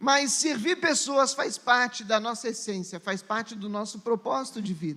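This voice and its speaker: A man talks in an extremely high pitch with a raised, projected voice and lively intonation. He keeps a moderate pace with hardly any pauses. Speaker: pastor. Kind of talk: sermon.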